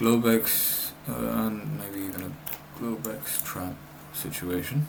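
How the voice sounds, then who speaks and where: A man's fairly low voice with lively intonation, audible room echo and noticeable background noise. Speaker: day trader. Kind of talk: live trading commentary. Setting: recording himself at a trading screen.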